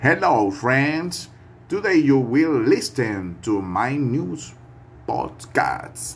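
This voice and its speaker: A man's medium-pitched voice with vocal fry, very slow pace and very wide pitch swings, plus audible room echo. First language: Spanish. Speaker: language student. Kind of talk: reading aloud. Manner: halting.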